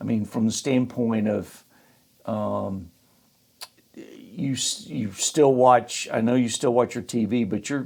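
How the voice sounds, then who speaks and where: Speaking very slowly with a Southern US accent, a man keeps a medium pitch and ordinary pitch variation. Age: 60s. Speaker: podcast host, financial firm CEO. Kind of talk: casual interview.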